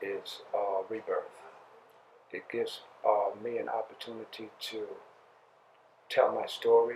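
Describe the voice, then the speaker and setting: A man at a fairly slow pace, with big swings in loudness, long, frequent pauses and noticeable background noise. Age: 60s. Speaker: singer and prison outreach counselor. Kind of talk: interview testimony. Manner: halting, many fillers.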